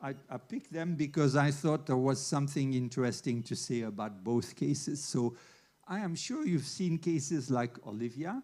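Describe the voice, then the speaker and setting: Dark, mellow tone with ordinary pitch variation at a moderate pace. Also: man, fairly high pitch for a man. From Switzerland. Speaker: veterinary internist. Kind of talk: lecture.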